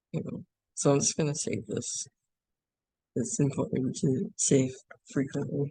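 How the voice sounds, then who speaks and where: Pausing long and often, a man talks at a fairly slow pace in a fairly high, somewhat breathy voice with a dark, mellow tone and lively intonation. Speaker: animation workshop instructor. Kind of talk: tutorial. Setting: classroom workshop with screen recording. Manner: hesitant, many fillers.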